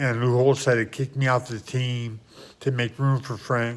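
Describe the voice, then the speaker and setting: A man's voice rests at a medium pitch. The intonation is fairly even. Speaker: vlogger. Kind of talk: video monologue. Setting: at home early in the morning. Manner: loud; rambling, agitated.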